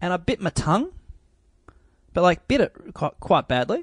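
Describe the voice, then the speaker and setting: Speaking with an Australian accent, a man is heard in a dry, close sound with no echo against a quiet background. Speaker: podcast guest. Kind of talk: casual chat. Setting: video call.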